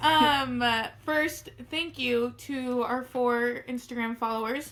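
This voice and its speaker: A woman's high-pitched voice at a very slow pace, with fairly even intonation and noticeable background noise. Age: 20s. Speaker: podcast co-host. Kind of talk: casual chat. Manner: hesitant, many fillers.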